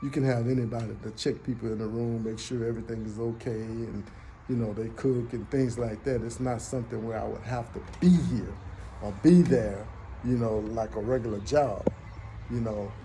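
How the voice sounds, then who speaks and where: Speech in an American accent comes at a moderate pace with fairly even intonation. Audible room echo surrounds it. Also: man, medium pitch for a man. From United States. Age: 60s. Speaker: vlogger. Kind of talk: casual personal monologue. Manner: halting.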